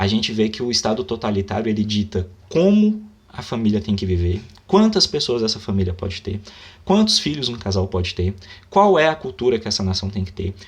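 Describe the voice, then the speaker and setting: A man speaks in a fairly low, somewhat breathy voice. His tone is animated, with ordinary pitch variation. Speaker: book commentator, writer. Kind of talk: book review monologue, unscripted. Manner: halting.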